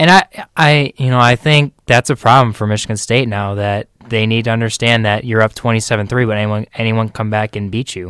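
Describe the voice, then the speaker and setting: A plain, everyday voice from a man, medium in pitch with ordinary pitch variation and a fairly quick pace, dry and close with no echo, on a very clean recording with a silent background. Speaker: sports co-host. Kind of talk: casual chat. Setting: studio.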